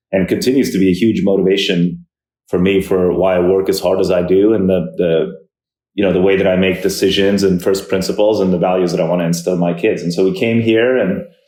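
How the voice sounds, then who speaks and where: At a very fast pace, a man with an American accent speaks in a very deep, low pitch and a dark, mellow tone, with monotone, flat intonation and very even loudness, amid audible room echo. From New York. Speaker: tech entrepreneur and investor. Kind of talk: podcast interview. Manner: hesitant, many fillers.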